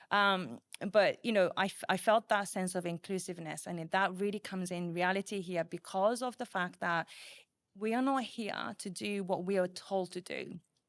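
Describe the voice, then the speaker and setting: A woman with a Japanese accent at medium pitch and moderate pace, with ordinary pitch variation, in a very clean recording with a silent background and a dry, close sound with no echo. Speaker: program manager. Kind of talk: podcast interview.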